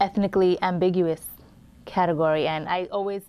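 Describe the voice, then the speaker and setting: A woman's medium-pitched voice in a Brooklyn accent, at a moderate pace with fairly even intonation. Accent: Brooklyn, regional. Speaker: actor. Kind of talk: panel interview.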